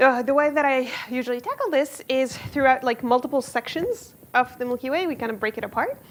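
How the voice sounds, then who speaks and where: With hardly any pauses, a woman talks at a fairly quick pace in a high voice over noticeable background noise. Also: ordinary pitch variation. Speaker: physics professor. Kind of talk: lecture. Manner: fast.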